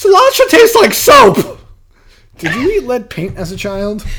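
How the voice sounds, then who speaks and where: A man is speaking. He has an American accent. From Massachusetts. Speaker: podcast co-host. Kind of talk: casual chat.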